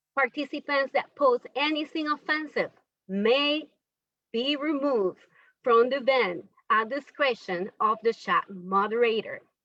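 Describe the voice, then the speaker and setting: With a non-native accent, a woman talks at a fairly slow pace in a high, bright and sharp voice with lively intonation, the sound dry and close with no echo. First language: not English. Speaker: forum moderator. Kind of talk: event moderation.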